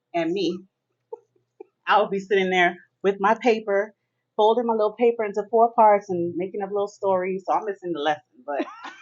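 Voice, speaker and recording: A woman's medium-pitched voice in a Miami accent, fairly quick with ordinary pitch variation and long, frequent pauses. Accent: American English, Miami. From Miami, Florida (Jamaican parents). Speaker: author. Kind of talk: interview.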